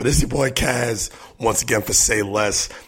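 In a put-on character voice, a man sounds raspy and hoarse at a medium pitch. He speaks at a moderate pace with fairly even intonation.

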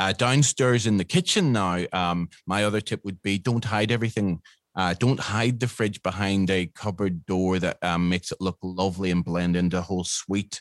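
With a Northern Irish accent, a man speaks in a very deep, low voice with fairly even intonation and hardly any pauses, in a dry, close sound with no echo and a quiet background. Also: moderate pace. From Northern Ireland. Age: 50s. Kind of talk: interview.

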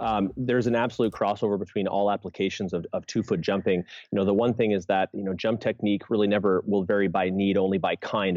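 This man has a normal speaking voice at a fairly low pitch. He talks at a fairly quick pace with fairly even intonation. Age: 30s. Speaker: strength coach and jump specialist. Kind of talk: podcast interview.

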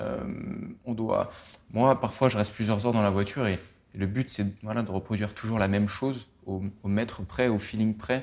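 At a moderate pace, a man with a fairly low pitch speaks with fairly even intonation. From France. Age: 20s. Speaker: racing driver. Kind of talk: interview. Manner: hesitant, many repetitions.

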